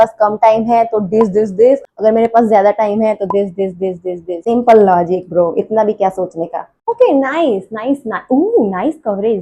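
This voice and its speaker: A woman talks at a fairly high pitch and a moderate pace. Her tone is dark and mellow, with ordinary pitch variation. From Gujarat, India. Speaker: vlogger. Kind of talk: casual vlog talk.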